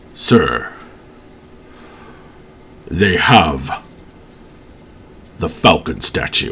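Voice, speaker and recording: A put-on character voice comes through quietly at a very slow pace. Background noise is clearly heard. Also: man. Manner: quiet, low.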